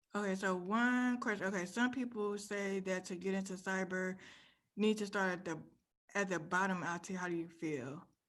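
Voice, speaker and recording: The pace is moderate, with ordinary pitch variation. Audible room echo surrounds the voice. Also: woman, medium pitch for a woman. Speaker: cybersecurity career speaker. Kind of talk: conference talk.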